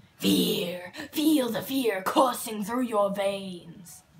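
A female-sounding voice performs a put-on character voice with growling at medium pitch. Delivery comes at a very slow pace. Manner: menacing.

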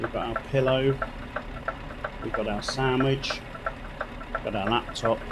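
Loud background noise behind a man speaking at a fairly slow pace. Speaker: gaming streamer. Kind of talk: live gameplay commentary.

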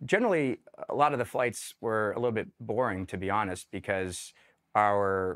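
A man's fairly low voice at a fairly quick pace, dry and close with no echo, on a very clean recording with a silent background. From Denver, Colorado. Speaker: army veteran. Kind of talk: interview testimony.

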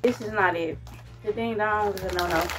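A woman speaks with clear music playing in the background. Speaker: food reviewer. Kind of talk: casual vlog chat. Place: home room. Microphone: phone near.

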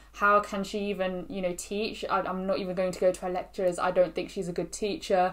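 A woman's fairly quick, monotone, flat delivery. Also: hardly any pauses. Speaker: student vlogger. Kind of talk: casual vlog chat. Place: home room.

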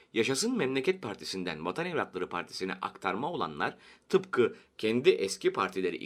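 Here someone is reading aloud in a natural voice.

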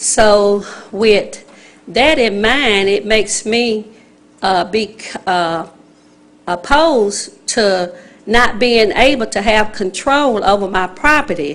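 Very slowly and with ordinary pitch variation, a woman speaks at a fairly high pitch with a Southern US accent. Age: 60s. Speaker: resident speaking at public hearing. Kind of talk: public comment at council meeting.

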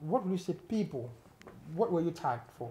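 A man's high-pitched voice with a dark, mellow tone at a fairly quick pace. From Ghana. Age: 40s. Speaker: entertainment interviewer. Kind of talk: casual interview. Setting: on set with camera crew. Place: home room. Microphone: lapel.

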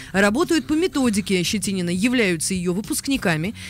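A fairly quick pace, dry sound with no echo, and light background noise. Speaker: radio host. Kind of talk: radio talk show. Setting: studio. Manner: halting, many filler sounds. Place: studio. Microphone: studio mic.

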